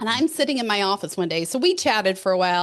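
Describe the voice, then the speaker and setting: Over a quiet background, a woman with a slight Texan accent talks at a fairly quick pace with very wide pitch swings. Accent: Texas accent, slight. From West Texas. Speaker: keynote speaker, financial educator. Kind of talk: podcast interview. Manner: animated.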